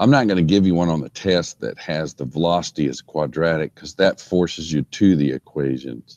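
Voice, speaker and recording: In a dry, close recording with no echo, a man speaks at a very deep, low pitch. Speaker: engineering instructor. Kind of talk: lecture. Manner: slow.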